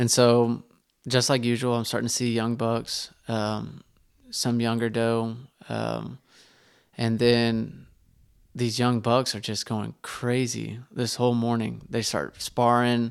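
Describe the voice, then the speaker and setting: A man's medium-pitched voice in a Texan accent, with monotone, flat intonation, at a very slow pace, on a very clean recording with a silent background. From Northeast Texas, Terrell. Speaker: bowhunter. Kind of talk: casual interview. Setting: studio.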